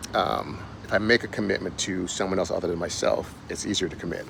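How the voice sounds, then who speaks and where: A man's fairly low voice with fairly even intonation, over noticeable background noise. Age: 60s. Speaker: fitness and weight loss coach, author. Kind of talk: casual vlog monologue. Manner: halting, with fillers and restarts.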